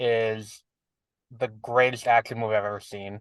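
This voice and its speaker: A man with a New York accent at a fairly slow pace, dry, close sound with no echo and a quiet background. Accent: New York City. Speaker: podcast co-host. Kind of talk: casual chat.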